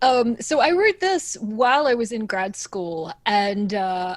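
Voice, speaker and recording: A woman speaks with an American accent at a fairly high pitch. Her pace is fairly slow and her intonation lively. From Australia. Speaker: composer. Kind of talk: interview.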